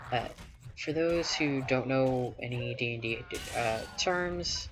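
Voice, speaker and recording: Over noticeable background noise, a man with a Southern US accent talks at a fairly slow pace and a medium pitch. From US South. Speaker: gaming streamer. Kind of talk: casual chat while playing.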